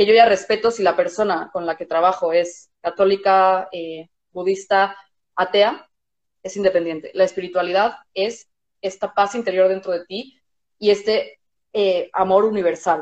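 A woman's monotone, flat delivery proceeds at a fairly slow pace. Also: medium pitch for a woman. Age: 30s. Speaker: music therapist. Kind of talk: casual chat.

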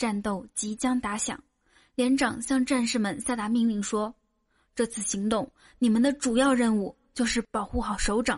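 Against a quiet background, a woman talks at a moderate pace with a fairly high pitch and big swings in loudness. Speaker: comedy podcast host. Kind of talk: joke telling; casual chat. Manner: animated.

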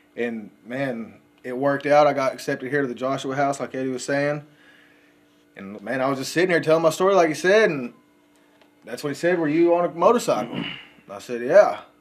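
A man with an American accent talks at a fairly quick pace and a fairly high pitch, with ordinary pitch variation, big swings in loudness, and long, frequent pauses. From West Texas, Odessa. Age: 30s. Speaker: recovering addict. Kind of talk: recovery testimony.

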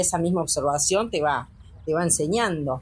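At a moderate pace, a woman talks with a somewhat breathy quality. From Uruguay, Colonia department countryside. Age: 40s. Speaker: veterinarian and cattle breeder. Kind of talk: interview testimony.

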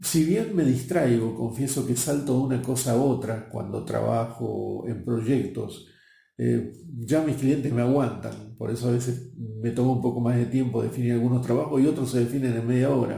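With a Rioplatense accent, a man talks at a moderate pace in a medium-pitched, somewhat breathy voice of dark, mellow tone, his intonation fairly even and the room echo audible. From Argentina, Buenos Aires. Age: 60s. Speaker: marketing professional and speaker. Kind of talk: interview.

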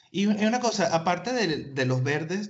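A man's normal speaking voice, fairly slow, with lively intonation. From Argentina. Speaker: podcast host. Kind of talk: casual interview.

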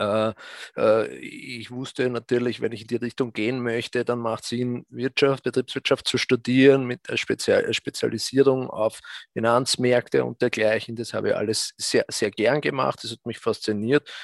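A man speaks fairly slowly at a medium pitch with monotone, flat intonation and hardly any pauses. The sound is dry and close, with no echo. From Austria, south of Vienna. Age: 40s. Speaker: fund manager. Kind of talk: interview. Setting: remote live stream from office. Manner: halting, many fillers.

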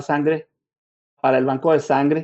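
The man speaks at a fairly quick pace with a fairly high pitch. His intonation is monotone and flat. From northern Mexico (Chihuahua). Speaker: blood donor recruitment manager. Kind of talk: online talk / interview.

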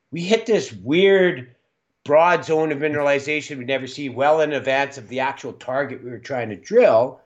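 Against a quiet background, a man with a western Canadian accent talks with ordinary pitch variation. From western Canada. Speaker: mining company executive. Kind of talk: interview.

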